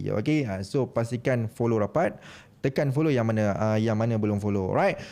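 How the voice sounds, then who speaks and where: Speaking at a fairly quick pace, a man has a dark, mellow tone, ordinary pitch variation and very even loudness. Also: medium pitch for a man. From Malaysia, Perak. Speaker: podcast host. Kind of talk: live podcast chat. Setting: live stream.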